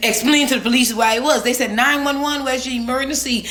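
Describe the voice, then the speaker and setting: In a strong Bahamian accent, a woman talks in an animated tone with ordinary pitch variation and audible room echo. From Bahamas. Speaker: storyteller vlogger. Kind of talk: casual storytime.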